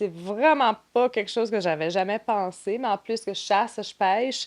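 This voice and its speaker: This woman's loudness swings a lot. Her pitch varies in an ordinary way. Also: medium pitch for a woman, moderate pace. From New Brunswick, Canada (Grand Manan island). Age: 30s. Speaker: trade show marketing and operations director. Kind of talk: podcast interview.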